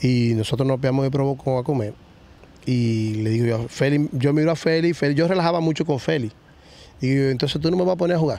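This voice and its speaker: Very fast and very even in loudness, a man speaks with a fairly high pitch and a dark, mellow tone. His pitch varies in an ordinary way, and the sound is dry with no echo. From Dominican Republic, Villa Vásquez (Cibao). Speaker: retired baseball player. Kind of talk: interview. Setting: baseball stadium field. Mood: relaxed storytelling, animated. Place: stadium. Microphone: studio mic.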